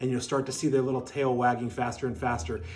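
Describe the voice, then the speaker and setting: A man talks at a very fast pace. Audible room echo is present. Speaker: dog breeder. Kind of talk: tutorial. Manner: calm; soft-spoken.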